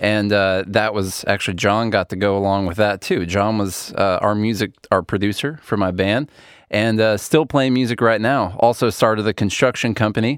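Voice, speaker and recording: A man's fairly low-pitched voice, an unremarkable speaking voice, at a moderate pace with ordinary pitch variation, on a very clean recording with a silent background. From rural small town, US. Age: 30s. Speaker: podcast host. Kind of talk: casual chat.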